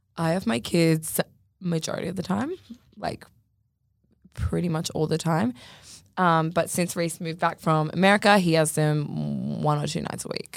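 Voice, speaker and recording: With an Australian accent, a woman speaks at a fairly low pitch and a moderate pace, with ordinary pitch variation and long, frequent pauses. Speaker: podcast co-host, social media influencer. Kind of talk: casual chat.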